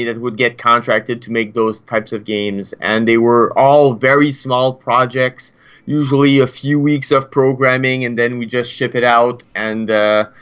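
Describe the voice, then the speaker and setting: A man with a French Canadian accent speaks at a moderate pace and a medium pitch, with ordinary pitch variation and hardly any pauses. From Quebec. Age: 30s. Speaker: game developer. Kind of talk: interview. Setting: live stream.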